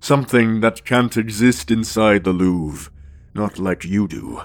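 The man talks at a moderate pace. His voice sits fairly low in pitch. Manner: calm, authoritative, persuasive.

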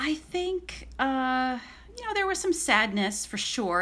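An ordinary speaking voice belongs to a woman with an American accent, talking at a moderate pace with lively intonation. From central New York, Syracuse area. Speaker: writer. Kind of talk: casual chat.

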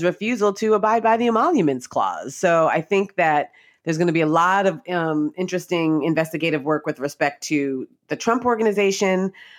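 Speaking at a moderate pace, a woman with a plain, everyday voice has a fairly low pitch and ordinary pitch variation. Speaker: legal journalist, former attorney. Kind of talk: interview. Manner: laughs often.

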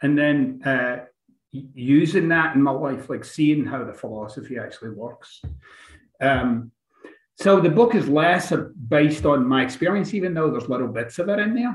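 With a Scottish accent, a man with a fairly high pitch speaks at a moderate pace, somewhat breathy and with lively intonation. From Scotland, Glasgow. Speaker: author and relationship coach. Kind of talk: interview.

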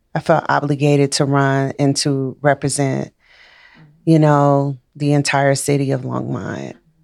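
Speaking at a fairly slow pace, a woman uses a very deep, low pitch and a monotone, flat intonation. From Chicago. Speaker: city council candidate. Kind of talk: casual interview. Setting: studio.

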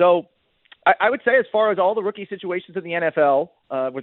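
With an American accent and an unremarkable speaking voice, a man talks at a fairly quick pace with ordinary pitch variation. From Boston. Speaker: NFL reporter. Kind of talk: radio interview. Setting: remote call-in.

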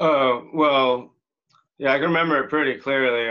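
A man with an American accent, fairly even intonation and a moderate pace, in an unremarkable speaking voice. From Miami, Florida. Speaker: professional rollerblader. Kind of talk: casual chat.

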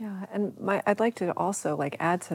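A woman's dark, mellow tone in a dry, close sound with no echo. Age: 50s. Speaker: sound healer. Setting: studio.

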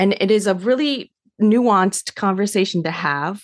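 A plain, everyday voice from a woman with a General American accent, moderate pace, ordinary pitch variation, dry, close sound with no echo and a quiet background. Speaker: adoption counselor and social worker. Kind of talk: interview, conversational.

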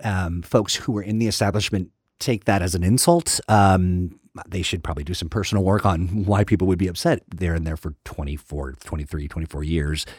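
A man with a very deep, low pitch talks at a fairly quick pace with hardly any pauses, somewhat breathy, using ordinary pitch variation. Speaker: podcast co-host. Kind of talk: casual chat. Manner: lively, talkative.

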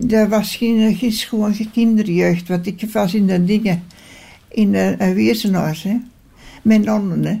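On a very clean recording with a silent background, a woman speaks at a very slow pace with long, frequent pauses. Her medium-pitched voice is somewhat breathy, with a dark, mellow tone. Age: 90s. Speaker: care home resident. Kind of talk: interview. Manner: halting.

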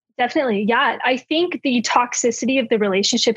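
Here is a woman with an American accent and a plain, everyday voice. She speaks at a fairly quick pace with a fairly high pitch. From California. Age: 20s. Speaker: TikTok creator. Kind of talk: casual interview chat.

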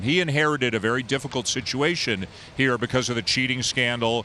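A man with an unremarkable speaking voice speaks at a fairly quick pace in a Canadian accent, at medium pitch with ordinary pitch variation. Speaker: baseball play-by-play broadcaster. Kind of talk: casual sports interview. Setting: remote call with echo.

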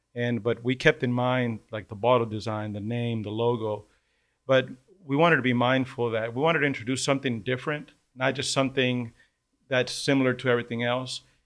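A man with an American accent speaks in an ordinary speaking voice, his intonation fairly even, over a quiet background. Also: medium pitch for a man, fairly quick pace. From Texas. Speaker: business partner. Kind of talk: casual interview.

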